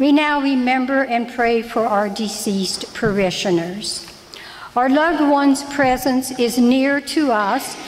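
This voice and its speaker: A woman with a high pitch talks at a fairly slow pace with ordinary pitch variation and very even loudness, over light background noise. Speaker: lay reader giving parish announcements. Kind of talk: church announcements and prayer intro. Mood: gentle, light humor then solemn. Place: church. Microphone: podium.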